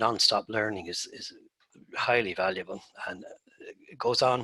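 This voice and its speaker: With an Irish accent and a bright, sharp tone, a man talks at a moderate pace in a fairly low pitch. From Ireland. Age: 60s. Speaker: turfgrass researcher and former golf course superintendent. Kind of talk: presentation.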